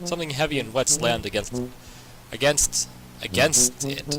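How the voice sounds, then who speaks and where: Moderate pace over noticeable background noise. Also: man. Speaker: gaming let's player. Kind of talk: let's play commentary reading game text aloud. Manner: casual, hesitant.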